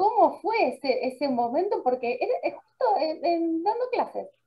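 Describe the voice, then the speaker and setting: A woman speaks with a Rioplatense accent. Her pitch swings very widely as she goes at a very slow pace. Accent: Argentine Rioplatense Spanish. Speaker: radio host. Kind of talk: interview.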